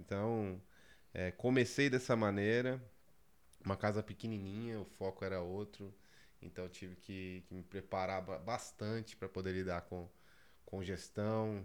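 Speaking fairly slowly with long, frequent pauses, a man keeps a fairly low pitch and fairly even intonation. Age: 30s. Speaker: pizzeria chain founder, former bank worker. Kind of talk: casual interview. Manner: halting, with many repetitions.

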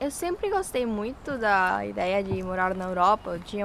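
In a Spanish accent, a woman talks at a moderate pace with a medium pitch and ordinary pitch variation. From Colombia, Ibagué. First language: Spanish (speaking Portuguese). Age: 18. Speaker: university student. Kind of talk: interview.

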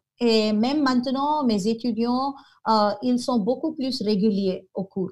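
A woman at a very slow pace, with a fairly high pitch and lively intonation. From India, Goa. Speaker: French professor. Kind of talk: interview. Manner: halting.

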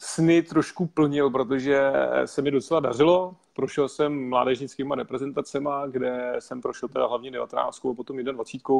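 A man with a normal speaking voice, fairly high in pitch, talks at a moderate pace with fairly even intonation. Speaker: network marketing entrepreneur. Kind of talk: interview.

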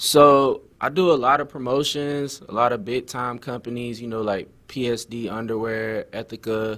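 With an American accent, a man speaks at a medium pitch and a moderate pace, with fairly even intonation and hardly any pauses, in an ordinary speaking voice. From Florida (Tampa Bay). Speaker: rapper. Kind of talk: interview. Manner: casual.

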